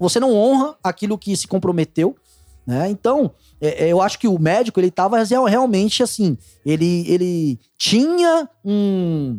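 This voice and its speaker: A dark, mellow tone at a fairly slow pace with very wide pitch swings, in a dry, close sound with no echo. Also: man, high pitch for a man. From Pernambuco, Brazil (Abreu e Lima). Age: 30s. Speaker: data analyst. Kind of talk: casual chat. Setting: studio.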